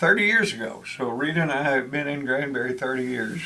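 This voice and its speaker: A man speaks in a Texan accent over noticeable background noise. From Texas. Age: 80s+. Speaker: retired extension agent and church podcaster. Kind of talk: interview. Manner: halting, many fillers.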